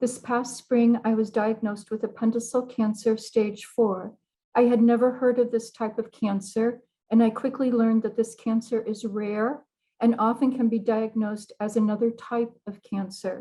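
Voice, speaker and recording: Her American accent comes with a fairly high pitch and a dark, mellow tone. The woman sounds somewhat breathy, with monotone, flat intonation. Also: moderate pace. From US Midwest, South Bend, Indiana. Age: 60s. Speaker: cancer patient. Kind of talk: testimony. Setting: video call. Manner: formal.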